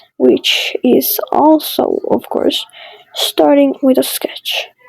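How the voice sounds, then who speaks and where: The delivery is very slow and carries a non-native accent. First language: not English. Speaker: digital artist, content creator. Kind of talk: drawing commentary. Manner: casual, hesitant with fillers.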